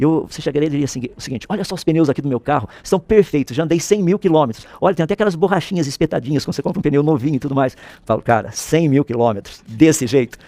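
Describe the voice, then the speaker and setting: A man talks at a very fast pace with hardly any pauses, his fairly high-pitched voice carrying a dark, mellow tone. His intonation is lively, and the sound is dry and close with no echo. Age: 60s. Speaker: physicist and creationist author. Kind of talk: interview. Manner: explanatory, uses analogies.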